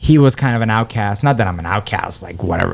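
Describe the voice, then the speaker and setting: At a very fast pace, a man speaks at a medium pitch on a very clean recording with a silent background. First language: Persian. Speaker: comedian. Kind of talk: casual chat. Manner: animated.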